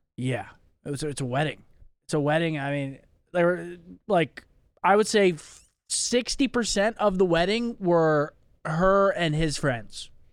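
A man speaks at a high pitch with lively intonation, fairly slowly and with long, frequent pauses. The recording is very clean with a silent background. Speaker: podcast co-host. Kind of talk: casual chat.

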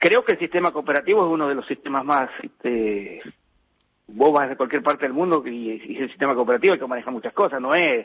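A man's fairly high, very fast voice with lively intonation. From Argentina. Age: 50s. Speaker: dairy farmer and farmers' association leader. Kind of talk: phone interview. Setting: phone call. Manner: halting, frequent repetitions and fillers.

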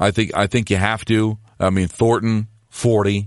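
Quiet background, a man's plain, everyday voice, fairly low in pitch, moderate pace, fairly even intonation. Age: 50s. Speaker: hockey podcast host and sports radio host. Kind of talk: solo sports recap podcast.

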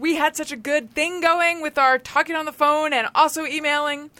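On a very clean recording with a silent background, a woman uses a raised, projected voice, bright and sharp in tone and animated, at a fairly quick pace. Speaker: podcast host. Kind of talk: casual chat. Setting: studio. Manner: animated, chatty.

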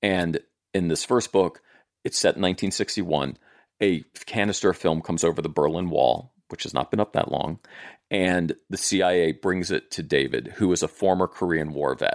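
In an American accent, a man with a very deep, low pitch speaks at a moderate pace with ordinary pitch variation, on a very clean recording with a silent background and a dry, close sound with no echo. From US South, southern Maryland. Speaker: TV writer and producer. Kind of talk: casual chat.

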